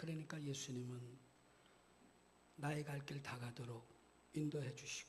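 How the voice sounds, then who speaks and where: Amid audible room echo, a man with a fairly high pitch speaks at a fairly slow pace with long, frequent pauses. His voice is somewhat breathy and his intonation monotone and flat. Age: 60s. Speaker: guest pastor. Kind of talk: sermon. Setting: church.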